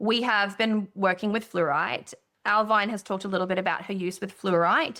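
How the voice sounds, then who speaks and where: Against a silent background in a very clean recording, a woman speaks with a bright, sharp tone. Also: medium pitch for a woman, ordinary pitch variation, moderate pace. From outside Australia. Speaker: podcast co-host. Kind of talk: casual chat. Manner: animated.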